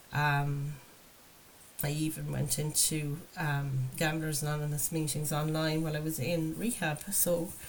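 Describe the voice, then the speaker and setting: Amid noticeable background noise and audible room echo, a woman with a very deep, low pitch speaks at a fairly slow pace, monotone and flat, with very even loudness. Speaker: tarot reader and recovery channel host. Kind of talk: spiritual card reading monologue. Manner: hesitant, filler-heavy.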